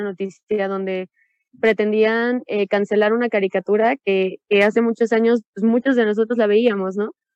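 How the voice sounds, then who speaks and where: A fairly high-pitched female voice at a moderate pace, with monotone, flat intonation. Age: 20s. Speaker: educational psychologist. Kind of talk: casual panel discussion.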